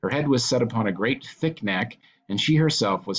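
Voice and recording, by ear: Lively intonation marks a natural voice reading aloud.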